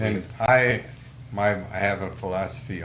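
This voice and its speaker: Pitch varies in an ordinary way. Noticeable background noise and audible room echo fill the recording. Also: man. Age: 70s. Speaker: trapper and outdoor instructor. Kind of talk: casual interview chat.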